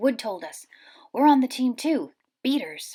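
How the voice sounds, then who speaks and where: A quiet voice at a moderate pace. Its pitch swings very widely. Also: woman, high pitch for a woman. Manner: speaking quietly, conspiratorial.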